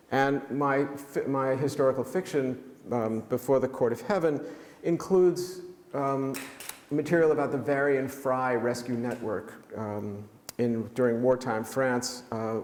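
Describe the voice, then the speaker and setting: Fairly slow speech in a New York accent, with audible room echo and noticeable background noise. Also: man, medium pitch for a man, ordinary pitch variation. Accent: New York American. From New York City (Manhattan). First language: German. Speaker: author. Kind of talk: lecture. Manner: halting, many fillers.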